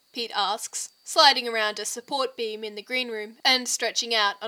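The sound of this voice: The speaker uses an unforced reading voice. The intonation is fairly even.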